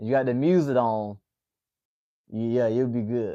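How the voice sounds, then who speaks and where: A man talks at a moderate pace with a Southern accent and a dark, mellow tone. The sound is dry and close with no echo, over a quiet background. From US South, Atlanta, Georgia. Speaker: MMA livestream host. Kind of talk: casual chat with live chat viewers. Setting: livestream.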